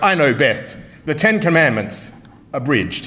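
A man speaks with an Australian accent. His pitch is high and his intonation is lively. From Melbourne, Australia. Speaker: comedy debater. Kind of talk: comedic debate speech. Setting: stage with audience. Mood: humorous, wry. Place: hall. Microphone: podium.

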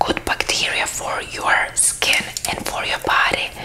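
A woman is whispering. Her voice stays a whisper. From Lithuania. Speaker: skincare creator. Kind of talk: ASMR skincare talk to camera. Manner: soft-spoken. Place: home room. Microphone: lapel.

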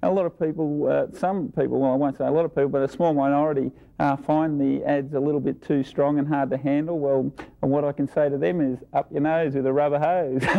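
A man with an Australian accent at a very fast pace, with fairly even intonation, very even loudness and a quiet background. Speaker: Australian rules football player, actor, pitchman. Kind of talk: interview answer. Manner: loud, brash. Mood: cheeky, brash. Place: studio.

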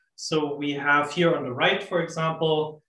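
A man with a fairly high-pitched voice talks at a fairly slow pace, and the room echo is audible. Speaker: astrophysicist. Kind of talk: lecture. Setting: video call. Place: home room. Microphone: webcam.

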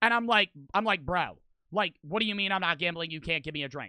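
Raised and projected, a man's voice comes out bright and sharp at a high pitch and a very fast pace, the sound dry with no echo. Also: quiet background. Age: 20s. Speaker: streamer. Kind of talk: casual storytelling monologue. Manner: animated. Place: home room. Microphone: studio mic.

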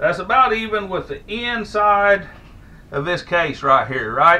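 A man speaks in a raised, projected voice. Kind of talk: casual tutorial. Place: workshop. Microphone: camera far.

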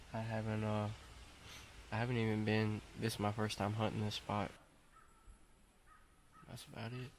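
Speaking in a monotone, flat intonation, a man with a fairly low pitch keeps a moderate pace, the sound dry with no echo and light background noise behind him. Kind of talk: casual vlog chat. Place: forest.

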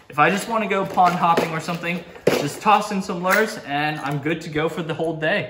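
A man's fairly high voice with a bright, sharp tone and ordinary pitch variation, at a moderate pace, with audible room echo.

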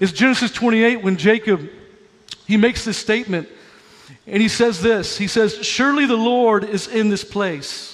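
A man talks at a high pitch and a moderate pace, with ordinary pitch variation. His tone is animated and energetic. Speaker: pastor. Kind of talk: sermon. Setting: church with live congregation. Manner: animated, exhortative, energetic preaching with crowd prompts; urgent, fervent, building to an altar call. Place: church. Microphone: headset.

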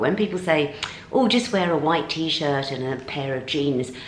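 With audible room echo and light background noise, a woman speaks at a fairly quick pace. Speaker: fashion vlogger. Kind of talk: casual vlog chat. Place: home room. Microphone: camera far.

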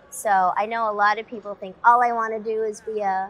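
At a moderate pace, a woman speaks in a monotone, flat intonation. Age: young-sounding. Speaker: voice actor. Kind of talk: interview answer. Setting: convention interview. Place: studio.

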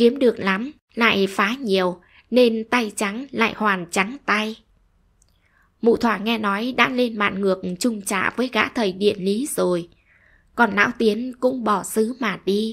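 Her tone gentle and soothing, a woman speaks at a very slow pace with fairly even intonation. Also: fairly high pitch for a woman. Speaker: story narrator. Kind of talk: short story reading. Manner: gentle, soothing.

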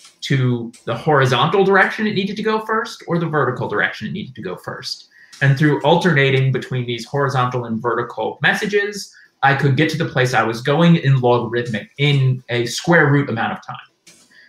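The speech moves at a fairly quick pace, with audible room echo. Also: man. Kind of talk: lecture. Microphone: headset.

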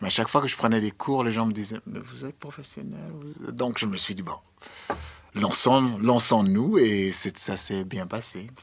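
A man speaks at a fairly slow pace. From Sierra Leone. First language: English (speaking French). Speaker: dancer and choreographer; guest. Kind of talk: radio interview. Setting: radio studio. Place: studio. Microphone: studio mic.

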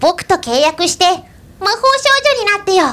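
A woman puts on an extremely high-pitched character voice. She speaks at a fairly slow pace. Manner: coaxing, sweetly persuasive.

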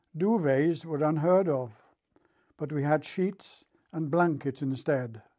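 A man with a British accent, fairly high-pitched for a man, in a dark, mellow tone, speaking at a very slow pace with ordinary pitch variation, on a very clean recording with a silent background. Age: 80s+. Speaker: war veteran. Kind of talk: recorded talk for schoolchildren. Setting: recorded tape. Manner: formal.

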